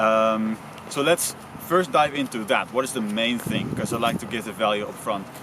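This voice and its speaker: A man talks at a moderate speed with ordinary pitch variation while noticeable background noise carries on behind him. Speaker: speaking coach. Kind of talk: tutorial. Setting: outdoors. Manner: loud.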